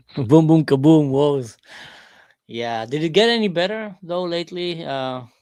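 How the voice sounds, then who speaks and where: A man speaks with a slight Israeli accent at a moderate pace and fairly high pitch. His intonation is lively, with big swings in loudness. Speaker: live streamer. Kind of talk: casual chat.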